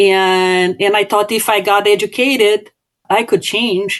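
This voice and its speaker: Flat and monotone, a voice with a Brazilian Portuguese accent moves at a moderate pace. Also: woman. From southern Brazil. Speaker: business owner and author. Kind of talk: podcast interview. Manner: halting, frequent fillers and repetitions.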